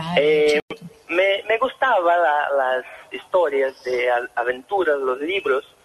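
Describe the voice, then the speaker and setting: Amid noticeable background noise, a man with a Brazilian accent speaks at a very slow pace. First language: Portuguese (speaking Spanish). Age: 20s. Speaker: author. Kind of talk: radio interview. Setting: phone call. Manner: halting.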